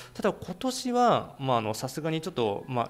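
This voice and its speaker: Talking at a fairly quick pace, a man uses lively intonation. It is a normal speaking voice. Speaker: YouTube music channel host. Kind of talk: informal video commentary. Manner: many filler words.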